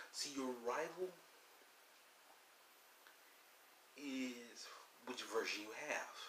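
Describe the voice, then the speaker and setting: Light background noise and audible room echo accompany a man's voice. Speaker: video game vlogger. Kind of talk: casual vlog chat. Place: home room. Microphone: phone near.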